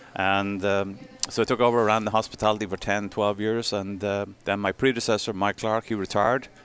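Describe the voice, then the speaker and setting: Over noticeable background noise, a man with an Irish accent talks at a fairly quick pace in a fairly low pitch with monotone, flat intonation. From Ireland. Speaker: sponsorship and marketing executive. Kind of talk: casual chat.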